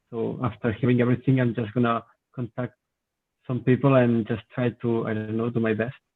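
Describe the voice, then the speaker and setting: A man talks with a Spanish accent. His intonation stays flat and monotone. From Spain. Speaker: hackathon participant, student. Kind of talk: self-introduction. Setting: video call.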